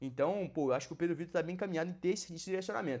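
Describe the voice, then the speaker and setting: Animated and very fast, a man talks in a high pitch with ordinary pitch variation. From Brazil, Minas Gerais. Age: 20s. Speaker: exam-prep mentor and YouTuber. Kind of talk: casual reaction video commentary. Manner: animated, informal with fillers.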